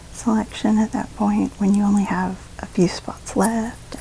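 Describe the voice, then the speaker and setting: An American accent marks this woman's speech. Behind her, the noise is noticeable. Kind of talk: beauty vlog voiceover. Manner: casual, chatty.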